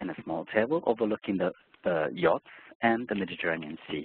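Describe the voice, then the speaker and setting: Lively in intonation, a man with a fairly low pitch speaks with a Japanese accent. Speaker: hotel sales director. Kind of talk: sales presentation. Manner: hesitant with fillers.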